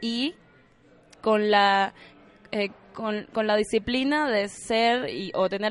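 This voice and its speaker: Very slow in pace, a woman talks at a fairly high pitch with ordinary pitch variation. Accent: slight Cuban. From Cuba. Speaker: actress and former ballet dancer. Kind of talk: casual interview.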